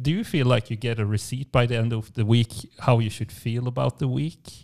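An unremarkable speaking voice, a man talks with fairly even intonation on a very clean recording with a silent background. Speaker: podcast co-host. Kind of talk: casual podcast chat. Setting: studio, in the same room.

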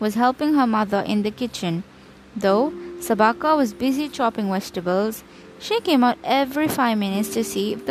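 The clip features plain reading aloud.

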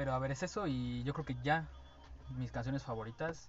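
A man talks at a moderate pace with a medium pitch. His voice is somewhat breathy. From Veracruz, Mexico. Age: 20s. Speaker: podcast co-host, student. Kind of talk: casual chat. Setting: studio.

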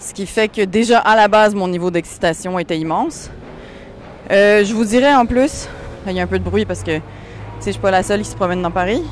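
Speaking at a fairly quick pace, a woman uses a medium pitch and ordinary pitch variation, broken by long, frequent pauses. Noticeable background noise runs underneath. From Quebec and France. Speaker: podcast host, comedian. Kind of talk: casual monologue and answering listener messages. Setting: outdoors in the street with a microphone. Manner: animated.

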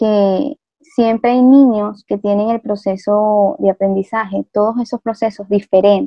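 A woman's normal speaking voice, fairly high, with fairly even intonation and a fairly slow pace. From Venezuela. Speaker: migrant teacher. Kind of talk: interview.

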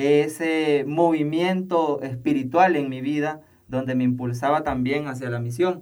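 The speaker uses a Nicaraguan accent, a fairly slow pace and fairly even intonation. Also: man. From Nicaragua, Matagalpa. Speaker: seminarian. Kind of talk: interview testimony.

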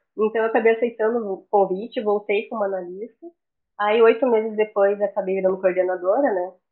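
A woman talks at a fairly quick pace and medium pitch with fairly even intonation. It is an unremarkable speaking voice. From southern Brazil, Florianópolis. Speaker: quality management consultant and auditor. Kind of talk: interview.

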